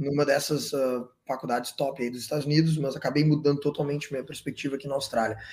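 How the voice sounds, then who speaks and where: Speaking at a fairly quick pace, a man with a southern Brazilian accent has a fairly high pitch. His voice is somewhat breathy. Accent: gaúcho Brazilian Portuguese. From southern Brazil, Porto Alegre. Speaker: entrepreneur, events business founder. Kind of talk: casual interview chat.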